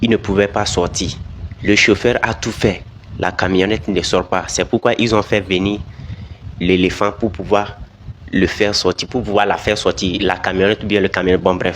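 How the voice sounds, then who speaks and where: A man's fairly low, flat, monotone voice at a moderate pace, with long, frequent pauses and noticeable background noise. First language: not French (speaking French). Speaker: video commentator. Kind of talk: video commentary.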